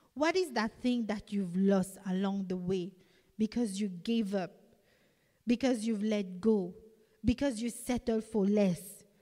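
A woman with a non-native accent speaks in a dark, mellow, somewhat breathy tone. Her pitch varies in an ordinary way, with long, frequent pauses. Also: medium pitch for a woman, fairly slow pace. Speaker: preacher. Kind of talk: sermon. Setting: church.

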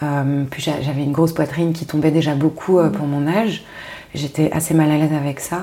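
Against noticeable background noise, a woman with a very deep, low voice talks at a fairly quick pace in a monotone, flat delivery. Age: 30s. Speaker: podcaster and strategy consultant. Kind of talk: casual interview conversation.

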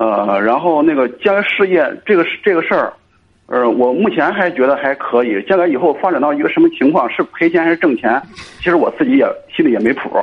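A man with a high voice talks at a fairly quick clip, his pitch swinging very widely. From Cangzhou, Hebei, China. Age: 30s. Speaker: caller. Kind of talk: radio call-in advice chat. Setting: phone call. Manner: halting.

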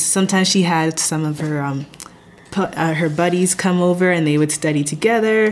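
A woman's unremarkable speaking voice sits at a fairly low pitch with fairly even intonation. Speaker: chemistry master's student. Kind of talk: casual interview.

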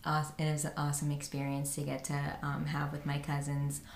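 With an American accent, a woman speaks at a fairly quick pace in a very deep, low voice with monotone, flat intonation and audible room echo. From New Jersey. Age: 20s. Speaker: podcast host. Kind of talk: casual chat.

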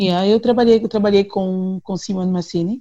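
With a dark, mellow tone, a woman speaks at medium pitch, somewhat breathy and with fairly even intonation. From Angola, Luanda. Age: 30s. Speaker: singer. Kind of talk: interview.

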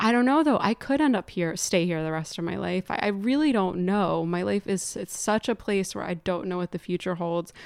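A woman with an American accent speaks in a plain, everyday voice at a medium pitch. She talks at a fairly quick pace with lively intonation and hardly any pauses. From northern New Jersey (Morristown). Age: 30s. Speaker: filmmaker and sound engineer. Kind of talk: casual chat. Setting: home.

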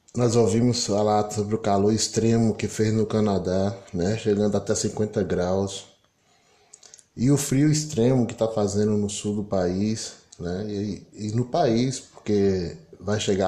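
A man speaks very slowly in a fairly low pitch, with fairly even intonation and noticeable background noise. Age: 50s. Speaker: political commentator. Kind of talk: solo commentary monologue.

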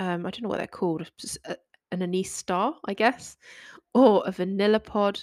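A woman with a medium pitch and ordinary pitch variation talks at a moderate pace with long, frequent pauses, on a very clean recording with a silent background and a dry, close sound with no echo. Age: 30s. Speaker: baking podcast host. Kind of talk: solo podcast monologue. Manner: casual, filler-heavy.

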